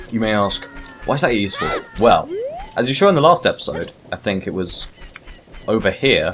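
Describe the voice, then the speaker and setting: A man talks fairly quickly while noticeable noise runs behind him. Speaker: gaming video creator. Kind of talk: let's play commentary. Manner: casual, rambling. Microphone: uneven level, too quiet or too loud.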